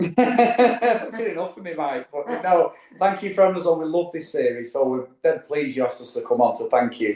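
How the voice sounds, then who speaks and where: A man with a Mancunian accent speaks at a high pitch and a moderate pace, with hardly any pauses. His pitch swings very widely, and his loudness varies a great deal. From Manchester, northern England. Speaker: travel vlogger. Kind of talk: casual interview chat. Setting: studio couch.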